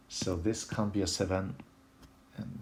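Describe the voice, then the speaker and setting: A man speaks with a strong French accent. His voice is somewhat breathy. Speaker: puzzle solving video creator. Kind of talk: puzzle solving tutorial. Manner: thinking aloud, some hesitations.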